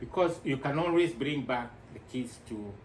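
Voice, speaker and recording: A man speaks at a fairly slow pace with a medium pitch. His ordinary pitch variation comes through noticeable background noise. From Kenya, Nairobi. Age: 60s. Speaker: returnee investor. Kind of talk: interview.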